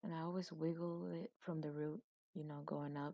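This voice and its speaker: This soft-spoken woman has a very deep, low pitch and fairly even intonation. The sound is dry and close, with no echo. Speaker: beauty vlogger. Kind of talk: makeup tutorial. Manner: casual.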